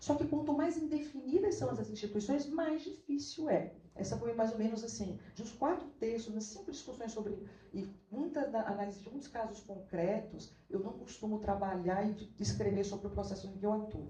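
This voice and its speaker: A woman speaks at a moderate pace with hardly any pauses, her fairly high voice dark and mellow in tone, with vocal fry, lively intonation and audible room echo. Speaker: law professor and researcher. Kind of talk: academic talk. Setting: auditorium at academic event.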